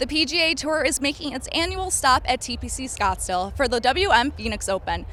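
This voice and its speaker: A woman speaks at a fairly quick pace in a high-pitched voice. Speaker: sports reporter and news anchor. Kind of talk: news and sports anchor read.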